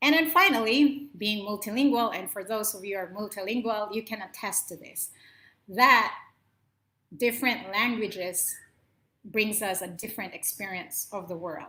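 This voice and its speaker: Her tone is bright and sharp, with a Filipino accent and a fairly high pitch. The woman speaks at a moderate pace with ordinary pitch variation. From Philippines, Ilocano speaker. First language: Ilocano. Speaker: motivational talk show host. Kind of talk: solo talk to camera. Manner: impassioned.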